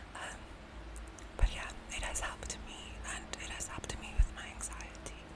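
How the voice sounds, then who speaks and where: A woman is whispering. Her pace is moderate. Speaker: ASMR content creator. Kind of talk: ASMR whisper ramble. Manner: whispered, soft-spoken. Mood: friendly, slightly nervous. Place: home room. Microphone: studio mic.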